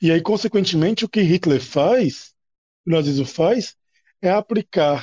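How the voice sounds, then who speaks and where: Dark, mellow tone at a fairly slow pace, lively intonation, and a dry, close sound with no echo. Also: man. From Natal, Rio Grande do Norte, Brazil. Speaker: university lecturer, history. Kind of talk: panel discussion. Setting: recorded at night, table podcast.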